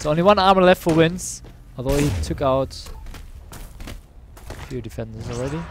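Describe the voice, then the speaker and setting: A man talks at a fairly quick pace with a German accent. Music plays in the background, and audible room echo is present. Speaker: esports commentator. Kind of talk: live commentary. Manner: animated.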